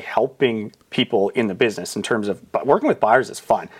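With a Canadian Prairies accent, a man talks at a fairly quick pace in a medium pitch with ordinary pitch variation. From Saskatchewan, Canada. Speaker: real estate agent. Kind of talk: casual interview. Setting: studio.

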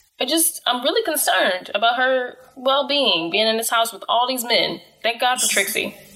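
Her high-pitched voice has lively intonation as this woman talks at a moderate pace with hardly any pauses over noticeable background noise. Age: 20s. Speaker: podcast co-host. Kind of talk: casual chat. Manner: animated.

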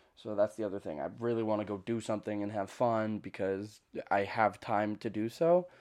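Over a quiet background, a man talks at a fairly quick pace. His voice sits fairly low, with ordinary pitch variation. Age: 20s. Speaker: podcast host. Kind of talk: casual solo monologue. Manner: rambling, hesitant with fillers.

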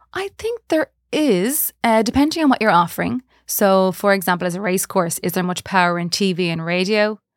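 Fairly quick, lively speech from a woman at medium pitch, dry and close with no echo, on a very clean recording with a silent background. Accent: western Irish. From Galway, western Ireland. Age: 40s. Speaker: marketing manager. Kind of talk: interview.

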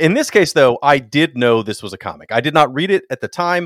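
A man speaks with lively intonation. The very clean recording has a silent background and a dry, close sound with no echo. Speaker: podcaster and musician, co-host. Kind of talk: casual chat.

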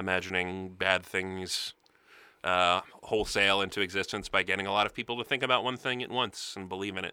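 A man with an American accent speaks in a very deep, low voice. His tone is bright and sharp, his intonation fairly even. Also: fairly quick pace. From New Jersey. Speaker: podcast host, screenwriter. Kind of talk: casual chat. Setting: studio.

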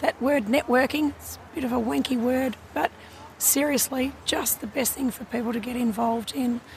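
Someone speaks with an Australian accent at a moderate pace. Noticeable background noise is present. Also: woman, high pitch for a woman. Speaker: industry association CEO. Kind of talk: casual interview.

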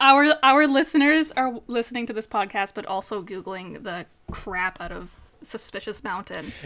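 A woman with a Newfoundland accent talks at a moderate pace in a fairly high, bright, sharp voice, her intonation lively and her loudness swinging widely. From Newfoundland, Canada (central). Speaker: podcast co-host, model and mental health coach. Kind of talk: casual chat.

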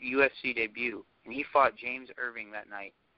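This man has an unremarkable speaking voice at a medium pitch. He speaks at a fairly quick pace with fairly even intonation. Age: 30s. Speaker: former cage fighter and strength coach. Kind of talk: casual chat.

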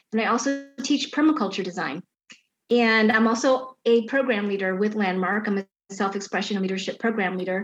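A woman with an American accent talks at a fairly quick pace in an unremarkable speaking voice with ordinary pitch variation. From Chicago. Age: 50s. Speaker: garden designer. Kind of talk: casual chat.

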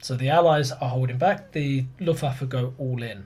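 This man's voice sits fairly high. It comes across somewhat breathy. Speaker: podcast host, history presenter. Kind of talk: casual chat and explaining history.

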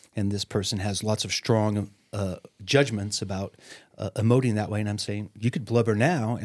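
On a very clean recording with a silent background, a man talks in an ordinary speaking voice. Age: 60s. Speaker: therapist. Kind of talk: podcast interview.

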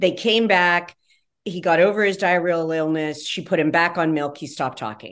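Against a quiet background, a woman with an unremarkable speaking voice talks at a moderate pace in a fairly low pitch with ordinary pitch variation. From West Virginia. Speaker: pediatrician. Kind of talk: interview.

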